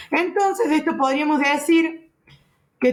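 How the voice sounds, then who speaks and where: This woman speaks at a fairly slow pace. The pitch of her voice shifts in an ordinary way. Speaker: physiotherapy lecturer. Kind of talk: lecture.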